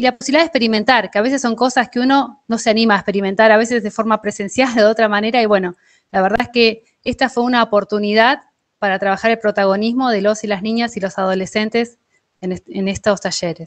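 A woman talks at a very fast pace against a quiet background. Her intonation stays fairly even. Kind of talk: presentation in online meeting. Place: home room. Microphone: video call.

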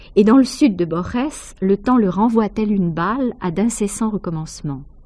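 The voice has a dark, mellow tone and is somewhat breathy, moving at a fairly slow pace with ordinary pitch variation. The recording is very clean, with a silent background. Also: woman. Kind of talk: measured literary essay read aloud, scripted narration. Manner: formal, even, didactic.

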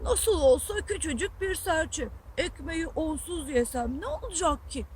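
A high-pitched, put-on character voice at a moderate pace, with clear background noise. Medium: read story.

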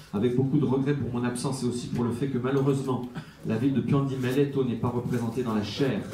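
A man's medium-pitched voice, very fast and flat in a monotone, over noticeable background noise. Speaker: mayor, closing speaker. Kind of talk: formal speech.

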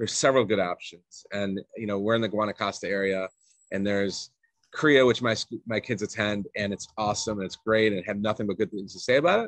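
Fairly quick and fairly low in pitch, a man with an American accent has a plain, everyday voice, recorded with a dry sound with no echo against a quiet background. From Atlanta, Georgia, US South; Georgia. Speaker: expat parent, remote worker; podcast guest. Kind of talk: casual interview chat. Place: home room. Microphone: video call.

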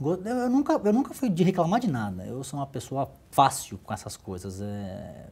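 The speech moves at a moderate pace. It has hardly any pauses. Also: man. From Santos, São Paulo, Brazil; São Paulo, Brazil. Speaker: business executive, former athlete; interview guest. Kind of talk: interview. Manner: halting, many repetitions. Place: office. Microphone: lapel.

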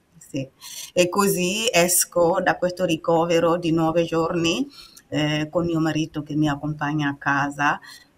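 Her pitch is fairly low, and her intonation fairly even. The woman speaks at a fairly slow pace. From Burkina Faso. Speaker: patient and author. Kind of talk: personal testimony in interview. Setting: video call. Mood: calm, personal storytelling. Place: home room.

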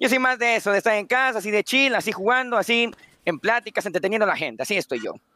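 A man with a high voice speaks at a very fast pace in a raised, projected voice. His tone is bright, sharp and energetic, and the sound is dry and close with no echo. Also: ordinary pitch variation. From Guatemala. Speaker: dating show contestant. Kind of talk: dating show chat. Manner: formal.

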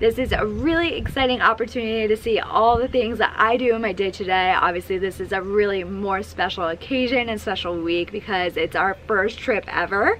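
A woman talks at a fairly quick pace with hardly any pauses and ordinary pitch variation. Light background noise is audible. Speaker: brand influencer relations manager. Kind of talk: casual vlog chat. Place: street.

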